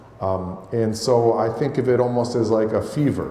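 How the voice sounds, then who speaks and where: A medium-pitched man with an American accent and ordinary pitch variation, amid noticeable background noise and audible room echo. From Penfield, near Rochester, New York. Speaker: journalist and author. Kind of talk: talk to an audience. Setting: church hall with audience. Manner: halting, many repetitions.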